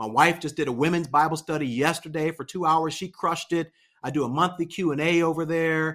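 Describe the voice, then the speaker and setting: A man with an American accent talks at a fairly quick pace in an ordinary speaking voice, fairly high in pitch with fairly even intonation. The recording is very clean, with a silent background. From Pittsburgh, Pennsylvania. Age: 40s. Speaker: pastor and YouTuber. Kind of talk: casual interview.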